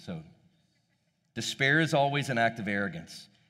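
A man talks at a moderate pace with a bright, sharp tone and lively intonation. Audible room echo surrounds the voice. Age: 40s. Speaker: pastor. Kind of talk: sermon.

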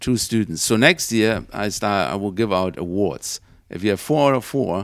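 A man's fairly low voice with a German accent and lively intonation, on a very clean recording with a silent background. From Germany. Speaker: engineering professor. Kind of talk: interview. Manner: hesitant.

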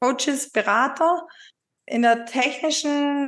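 Against a quiet background, a woman speaks at a very slow pace. Her pitch variation is ordinary. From Upper Swabia, southern Germany. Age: 40s. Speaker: virtual assistant, former insurance clerk. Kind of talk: being coached, conversational. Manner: hesitant, many fillers.

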